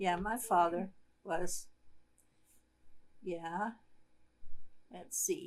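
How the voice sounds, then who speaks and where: Pausing often and at length, a woman of medium pitch speaks at a very slow pace with fairly even intonation. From Germany. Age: 70s. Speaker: grandmother interviewed by family. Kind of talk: family interview, casual storytelling.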